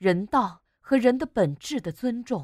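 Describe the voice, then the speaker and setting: In a very clean recording with a silent background, a woman with a dark, mellow tone speaks at a fairly slow pace with very wide pitch swings, the sound dry and close with no echo. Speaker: broadcaster, voice-over artist. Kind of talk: prose reading.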